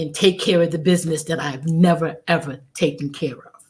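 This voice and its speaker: Her voice is fairly low in pitch and somewhat breathy. The woman keeps a moderate pace. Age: 60s. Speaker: testimony guest. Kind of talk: testimony. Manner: halting.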